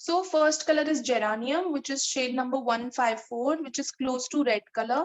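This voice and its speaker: The voice carries a Marathi accent. It moves at a moderate pace with ordinary pitch variation. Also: woman, high pitch for a woman. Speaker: art teacher. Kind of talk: online drawing class for children. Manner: repetitive, instructive.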